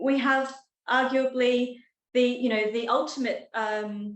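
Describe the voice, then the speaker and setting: A woman with an Australian accent at a fairly slow pace, with audible room echo. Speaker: professor. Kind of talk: lecture. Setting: talk with live and online audience.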